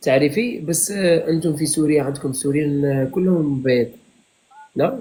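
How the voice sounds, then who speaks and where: A man's voice, fairly high in pitch, at a moderate pace with ordinary pitch variation. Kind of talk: casual live-stream chat.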